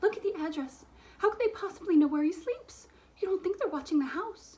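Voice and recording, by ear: Doing a shaky put-on character voice, a woman talks fairly quickly at an extremely high pitch with lively intonation.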